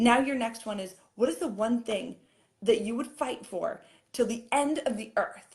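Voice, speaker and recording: A woman with a fairly high voice speaks in an animated tone, her pitch varying an ordinary amount. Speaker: fitness coach. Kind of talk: live-stream coaching talk. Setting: live video stream. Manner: fast.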